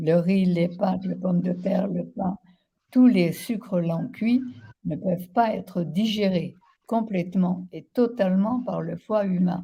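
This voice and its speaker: Very slowly, a woman speaks in a somewhat breathy voice with a dark, mellow tone. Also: medium pitch for a woman, ordinary pitch variation. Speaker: naturopath. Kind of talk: interview.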